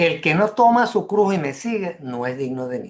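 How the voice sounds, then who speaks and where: A man speaks at a fairly slow pace. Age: 70s. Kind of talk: religious radio talk. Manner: repetitive, halting.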